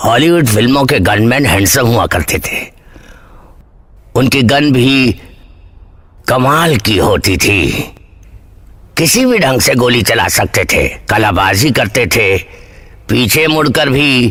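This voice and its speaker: A man puts on a character voice at medium pitch with lively intonation and very even loudness. He goes at a fairly slow pace, with long, frequent pauses. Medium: fan dub. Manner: deadpan.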